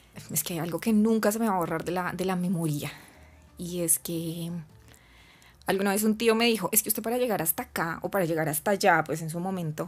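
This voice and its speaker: A woman's fairly low voice in a Bogotá accent, fairly quick with ordinary pitch variation, on a very clean recording with a silent background. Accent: Bogotá Colombian Spanish. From Colombia, Bogotá. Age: 20s. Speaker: flight attendant. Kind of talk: interview.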